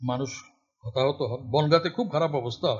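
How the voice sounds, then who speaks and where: A somewhat breathy male voice. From West Bengal, Murshidabad; West Bengal. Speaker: essayist and political activist; guest lecturer. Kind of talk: lecture. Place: classroom. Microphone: podium.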